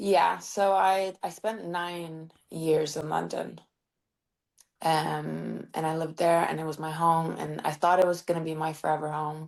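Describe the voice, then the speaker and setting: A woman with a Norwegian accent speaks fairly slowly in a very deep, low voice with monotone, flat intonation. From Norway. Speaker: singer-songwriter. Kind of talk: interview.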